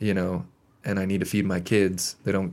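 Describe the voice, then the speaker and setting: On a very clean recording with a silent background, a man with an American accent speaks at a fairly quick pace in a very deep, low pitch, with vocal fry and ordinary pitch variation. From Montana. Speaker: podcast guest. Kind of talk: casual chat. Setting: studio.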